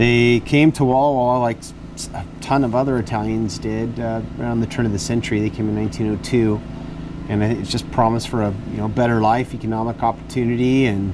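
The pace is fairly quick, with fairly even intonation. Noticeable background noise runs underneath. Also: man. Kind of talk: interview answer. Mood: relaxed, storytelling. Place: garden. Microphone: lapel.

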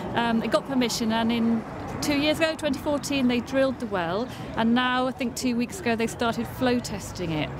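A woman with a high pitch speaks at a moderate pace. The sound is dry with no echo, though background noise is noticeable. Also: ordinary pitch variation. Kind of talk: interview answer. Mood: concerned but calm. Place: street. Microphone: camera far.

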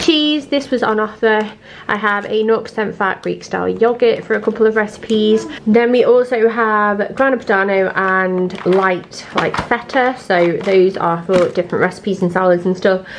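A woman at a medium pitch and moderate pace, with ordinary pitch variation, few pauses and faint background noise

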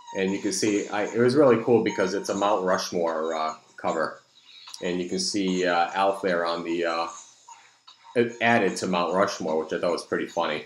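With audible room echo, a man speaks at a low pitch and a moderate pace, keeping his intonation fairly even.

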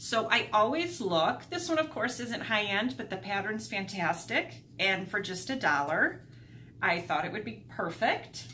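Over light background noise, a woman speaks at a fairly slow pace with very wide pitch swings. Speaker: thrift haul vlogger. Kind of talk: casual vlog chat. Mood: cheerful, upbeat. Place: home room. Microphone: camera far.

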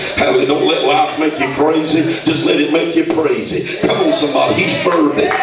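Noticeable background noise and audible room echo surround a man talking at a fairly quick pace. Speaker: preacher. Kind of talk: fervent live sermon prayer, scripture-citing call-and-response. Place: shop.

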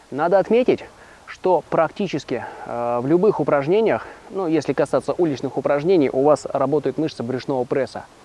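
His pitch moves with ordinary variation. The man speaks at a moderate speed. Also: dry sound with no echo. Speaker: fitness trainer. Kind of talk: tutorial. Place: forest. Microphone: lapel.

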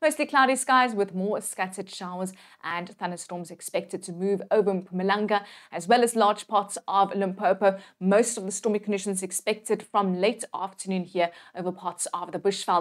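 At a moderate pace, a woman with a warm, upbeat tone speaks at a medium pitch with ordinary pitch variation against a quiet background. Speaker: weather presenter. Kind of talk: scripted weather forecast delivered to camera, brisk region-by-region rundown. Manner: brisk, steady informational delivery packed with place names and figures; warm, reassuring and upbeat toward viewers. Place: studio. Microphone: lapel.

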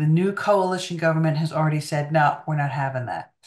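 A woman speaks with a very deep, low pitch at a fairly quick pace. The background is quiet. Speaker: remote guest. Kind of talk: interview answer. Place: home room. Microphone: video call.

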